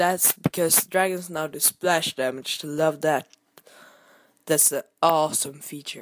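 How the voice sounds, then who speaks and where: Speaking very slowly in a very deep, low voice with ordinary pitch variation, a woman is heard dry and close with no echo on a very clean recording with a silent background. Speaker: gaming youtuber. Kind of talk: gameplay commentary. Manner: hesitant, many fillers.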